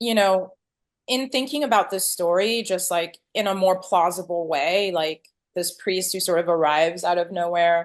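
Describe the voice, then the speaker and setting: A French accent at a moderate pace, with ordinary pitch variation over a quiet background. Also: woman, medium pitch for a woman. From Cameroon. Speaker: film director. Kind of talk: interview. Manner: casual, lots of fillers.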